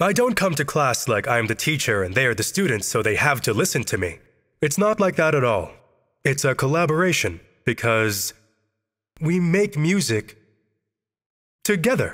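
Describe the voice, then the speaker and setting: A man's fairly high, vocal-fried voice with very wide pitch swings, very even loudness, long and frequent pauses, and a very clean recording over a silent background. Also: moderate pace. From outside China. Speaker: music teacher. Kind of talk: interview.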